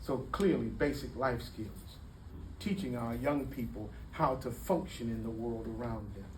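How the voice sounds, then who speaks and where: At a fairly slow pace, a man talks with audible echo from the room. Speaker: community speaker. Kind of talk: public talk. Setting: room with audience. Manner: animated.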